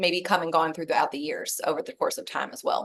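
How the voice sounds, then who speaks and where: A woman talks with a Kentucky accent. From Kentucky, Louisville. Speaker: network marketing director, former nurse. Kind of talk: podcast interview.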